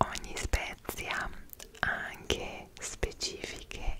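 Someone whispers very slowly in a soft-spoken voice over loud background noise. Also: woman. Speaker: travel vlogger. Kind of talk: casual vlog chat. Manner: soft close-mic whisper. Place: home room. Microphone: studio mic.

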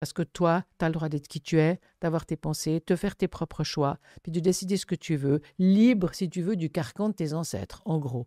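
A woman speaks in a dark, mellow tone at a moderate pace. Her pitch varies in an ordinary way, and the background is quiet. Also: fairly low pitch for a woman, dry sound with no echo. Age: 70s. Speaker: thanatologist; guest. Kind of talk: interview conversation. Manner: animated. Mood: earnest, animated. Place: studio. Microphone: studio mic.

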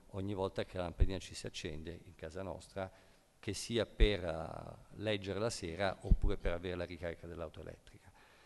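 Fairly quick pace from this man. His intonation stays fairly even. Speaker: ICT industry executive; panelist. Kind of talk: panel discussion. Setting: stage with audience. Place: hall. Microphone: podium.

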